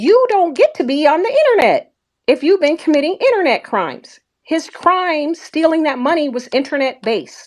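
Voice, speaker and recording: The recording is very clean, with a silent background. In it, a woman talks in an animated tone, her intonation lively. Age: 60s. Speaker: social media commentator. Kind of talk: heated rant.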